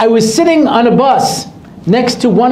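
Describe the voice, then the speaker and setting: A man speaks with lively intonation. Noticeable background noise and audible room echo are present. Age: 60s. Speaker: rabbi. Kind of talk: lecture. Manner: animated.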